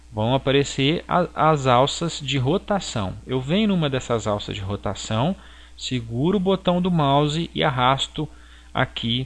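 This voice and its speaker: Here a man talks at a fairly slow pace. His pitch shows ordinary variation. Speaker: graphic design teacher. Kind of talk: software tutorial. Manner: halting.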